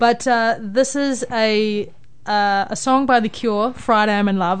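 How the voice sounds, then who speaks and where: A woman with a New Zealand accent and a fairly high pitch. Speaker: radio host. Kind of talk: casual chat. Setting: studio.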